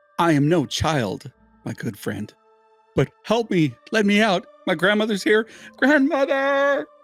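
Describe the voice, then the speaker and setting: A man's put-on character voice, high-pitched and sing-song with very wide pitch swings, at a fairly slow pace over faint music in the background. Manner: pleading, urgent.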